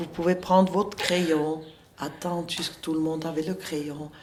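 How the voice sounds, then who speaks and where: A woman talks over noticeable background noise. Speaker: school founder and educator. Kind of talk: interview. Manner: halting.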